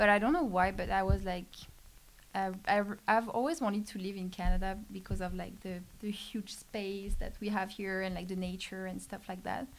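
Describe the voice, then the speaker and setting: A woman with a French accent speaks at a moderate pace and medium pitch, keeping her intonation fairly even. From France. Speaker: startup program specialist. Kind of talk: casual podcast interview. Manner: halting, many fillers.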